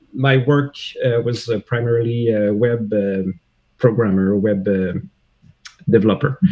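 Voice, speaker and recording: A man speaks with a slight French Canadian accent. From Quebec, Canada. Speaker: CAD software user, web developer. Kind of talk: livestream interview. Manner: halting, many fillers.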